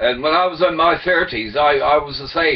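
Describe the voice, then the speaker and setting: Someone speaks at a moderate pace. Background noise can be clearly heard. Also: man. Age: 70s. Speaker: retired former merchant seaman sharing theories. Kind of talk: casual webcam monologue. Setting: webcam recording. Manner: halting, with repetitions and fillers.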